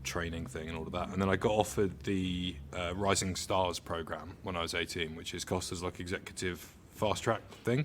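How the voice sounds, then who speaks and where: Speaking at a moderate pace in a southern English accent, a man has a very deep, low pitch, fairly even intonation and big swings in loudness. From southern England, Hampshire-Surrey border. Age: around 30. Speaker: coffee industry professional. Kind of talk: casual interview. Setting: on location at a coffee roastery.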